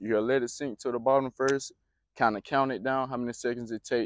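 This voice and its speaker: A man talks at a fairly quick pace. The sound is dry with no echo over a quiet background. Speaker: fishing vlogger. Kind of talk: tutorial. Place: waterside. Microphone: lapel.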